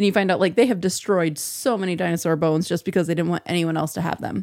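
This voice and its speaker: A woman speaks with a Midwestern American accent at a fairly low pitch. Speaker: podcast co-host. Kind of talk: casual chat.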